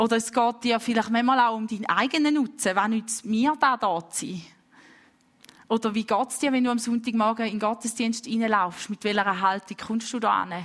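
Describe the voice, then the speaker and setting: A woman speaks in a plain, everyday voice at a fairly high pitch. Her pace is moderate, and her intonation is fairly even. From Switzerland, St. Gallen. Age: 20s. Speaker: preacher. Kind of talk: sermon.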